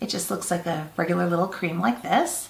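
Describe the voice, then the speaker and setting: With audible room echo and light background noise, a woman talks very fast at a fairly low pitch. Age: 50s. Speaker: beauty vlogger. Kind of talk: casual talk to camera. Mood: light, chatty. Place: home room.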